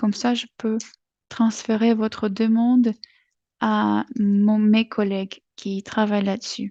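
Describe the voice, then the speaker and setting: Against a quiet background, a woman with a non-native accent speaks in a fairly high voice. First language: not French (speaking French). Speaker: webinar presenter. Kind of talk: webinar presentation. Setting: online webinar. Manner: halting, many hesitations.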